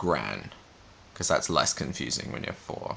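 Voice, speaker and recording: With an Australian accent and a bright, sharp tone, the voice comes through over a quiet background. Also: man. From Australia, Albury, New South Wales. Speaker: vlogger. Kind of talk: casual chat; word list reading.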